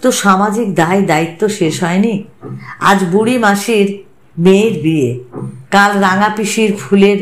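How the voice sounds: This natural reading voice shows ordinary variation in its pitch.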